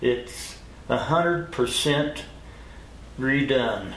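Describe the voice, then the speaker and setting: A man in an American accent at a very slow pace, with ordinary pitch variation, audible room echo and noticeable background noise. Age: 70s. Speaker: motorcycle collector and mechanic. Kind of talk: casual interview. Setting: garage.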